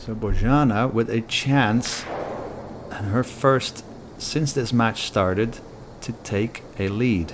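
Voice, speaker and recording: A man at a very slow pace, with long, frequent pauses, ordinary pitch variation and noticeable background noise. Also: medium pitch for a man. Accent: non-native. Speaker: pool commentator. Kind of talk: live commentary.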